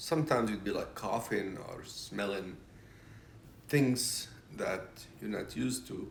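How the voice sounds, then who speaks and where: A man at a moderate pace amid audible room echo. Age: 60s. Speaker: retired business consultant. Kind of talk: interview. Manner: hesitant, many fillers.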